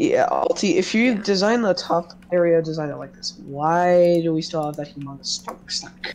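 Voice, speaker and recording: A moderate pace over noticeable background noise. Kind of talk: casual gaming chat.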